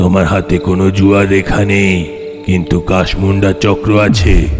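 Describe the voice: A man uses a cartoonish character voice with a very deep, low pitch and a fairly slow pace. Loud music plays in the background.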